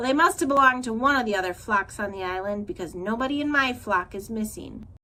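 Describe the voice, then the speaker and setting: At a very fast pace, a woman uses a put-on character voice pitched fairly high. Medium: read story. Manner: blunt, squawking.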